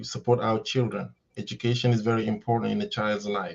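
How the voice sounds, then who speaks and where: In a Senegalese accent, a man speaks with medium pitch and a dark, mellow tone against a quiet background. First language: Wolof. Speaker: educator. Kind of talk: interview.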